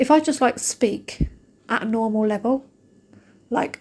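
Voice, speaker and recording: Speaking with an English accent, a woman uses a fairly high pitch and ordinary pitch variation. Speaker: shopping vlogger. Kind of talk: casual vlog chat. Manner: fast; animated.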